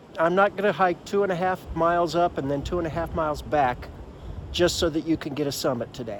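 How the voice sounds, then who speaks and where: A high-pitched man at a fairly quick pace, with noticeable background noise. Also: ordinary pitch variation. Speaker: hiking vlogger. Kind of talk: solo vlog talking to camera. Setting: outdoors at a campsite. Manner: quiet, hushed.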